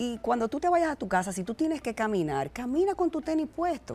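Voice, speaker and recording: A woman speaks at a fairly quick pace with faint music in the background. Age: 40s. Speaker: fitness entrepreneur; guest. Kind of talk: TV interview. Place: studio. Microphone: lapel.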